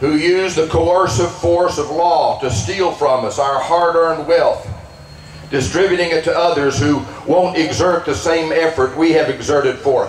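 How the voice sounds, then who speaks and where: A man speaks in a high voice with ordinary pitch variation. Noticeable background noise runs through the clip. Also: moderate pace. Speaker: pastor. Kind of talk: rally speech, rousing political and religious oratory. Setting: outdoor rally to a crowd. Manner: forceful, emphatic, declamatory.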